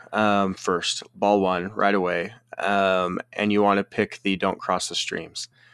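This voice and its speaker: A man's fairly low, monotone, flat voice, dry and close with no echo, over a quiet background. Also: fairly slow pace. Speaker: pinball podcast co-host. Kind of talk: casual chat. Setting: remote recording, different time zones.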